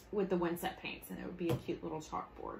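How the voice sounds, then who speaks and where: A woman with a Southern US accent. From US South. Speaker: craft tutorial host. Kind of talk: live craft tutorial. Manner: animated.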